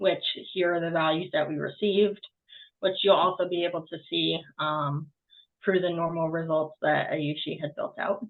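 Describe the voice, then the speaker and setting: A woman with a slight Boston accent speaks at a moderate pace in a fairly low voice with fairly even intonation. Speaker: student. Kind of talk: class project presentation and code walkthrough. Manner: halting, many filler ums.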